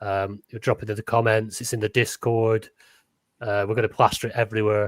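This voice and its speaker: A man with a Lancashire accent, fairly low in pitch, at a fairly quick pace with monotone, flat intonation and a dry, close sound free of echo. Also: very clean recording, silent background. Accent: Lancastrian, northern English. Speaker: podcast co-host. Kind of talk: casual chat. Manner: halting, repeats words.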